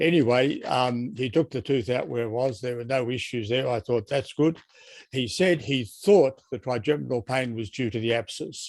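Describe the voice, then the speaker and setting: An Australian accent at a moderate pace, with ordinary pitch variation. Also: man. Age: 80s+. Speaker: patient asking questions. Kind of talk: Q&A in online support group.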